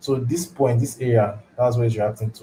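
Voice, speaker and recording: A man's medium-pitched, somewhat breathy voice with a Nigerian accent, a dark, mellow tone and fairly even intonation. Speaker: forex trading educator. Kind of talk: live trading tutorial. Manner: halting, repeats words.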